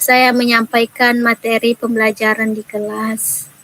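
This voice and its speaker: There is noticeable background noise as a woman speaks at a fairly slow pace. Her fairly high pitch stays monotone and flat. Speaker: primary school teacher. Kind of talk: role-play coaching session.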